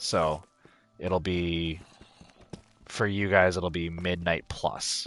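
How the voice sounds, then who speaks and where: Over music in the background, a man with a very deep, low pitch speaks very slowly in a monotone, flat way, with long, frequent pauses. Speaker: gaming streamer. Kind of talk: live gameplay stream chat. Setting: home basement.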